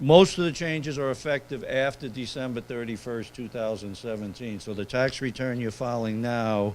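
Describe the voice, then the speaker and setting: A man with a New York accent speaks at a medium pitch with ordinary pitch variation. His pace is moderate, with hardly any pauses. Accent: New York City. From New York City. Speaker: accountant. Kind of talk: seminar presentation.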